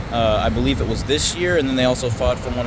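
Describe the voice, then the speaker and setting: Very fast speech from a man, medium in pitch, with noticeable background noise and audible echo from the room. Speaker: urban explorer vlogger. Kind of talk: casual vlog narration. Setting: outdoors. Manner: quiet, can't talk loud.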